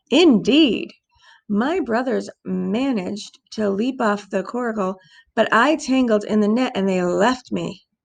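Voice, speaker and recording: Putting on a raspy character voice, a woman speaks at a fairly slow pace and a fairly high pitch. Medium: read story. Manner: formal, polite.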